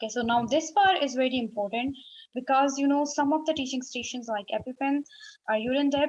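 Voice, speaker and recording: A woman speaks at a fairly quick pace in an unremarkable speaking voice. Her pitch varies in an ordinary way. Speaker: medical exam tutor. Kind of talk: tutorial.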